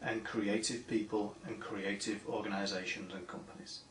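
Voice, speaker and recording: Room echo is clearly audible around a male voice, with noticeable noise behind it. He has an American accent. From northern England, Manchester. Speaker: steel industry association director. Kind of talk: prepared video greeting.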